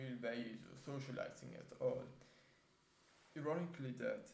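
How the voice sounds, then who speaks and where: A man with a medium-pitched, dark and mellow voice shows some vocal fry, and the room echo is audible. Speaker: vlogger. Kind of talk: casual vlog monologue. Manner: halting, many fillers.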